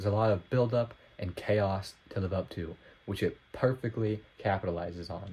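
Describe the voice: A nasal male voice, low in pitch with ordinary pitch variation, a moderate pace and a slightly mellow tone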